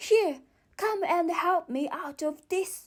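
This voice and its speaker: Using a put-on character voice, a woman speaks at an extremely high pitch and a very slow pace. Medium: read story. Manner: irritable, commanding.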